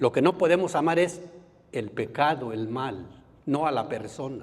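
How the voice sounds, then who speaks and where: A man speaks in a normal speaking voice at a fairly slow pace, his fairly high pitch carried by lively intonation. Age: 60s. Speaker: Bible course teacher. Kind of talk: lecture.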